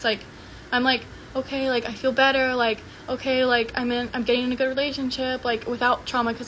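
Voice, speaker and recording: A woman mumbles at a fairly quick pace and a high pitch, with noticeable background noise. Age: 20s. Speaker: social media personality. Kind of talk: livestream monologue. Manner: mumbling; casual filler-heavy.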